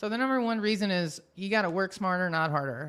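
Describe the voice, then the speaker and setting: Speaking at a fairly quick pace, a woman with an American accent sounds animated, her intonation lively. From Washington DC. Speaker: podcast company founder. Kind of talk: webinar presentation. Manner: fast.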